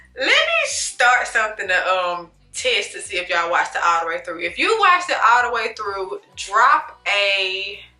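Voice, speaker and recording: A woman's fairly high voice with lively intonation, a moderate pace and hardly any pauses, music playing in the background. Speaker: YouTuber, movie reviewer. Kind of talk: casual vlog monologue, movie review. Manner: casual, conversational; stutters, self-corrects.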